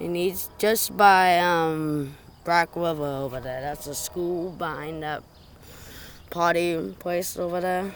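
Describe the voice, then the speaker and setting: Someone talks quietly at a very slow pace. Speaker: train-spotting video maker. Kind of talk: live on-location commentary. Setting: outdoors by railway.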